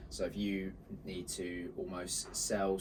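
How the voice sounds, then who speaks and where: With a Lancashire accent, a man talks in a very deep, low voice amid audible room echo. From northern England, Bolton. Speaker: marketing agency co-founder. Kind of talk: casual chat.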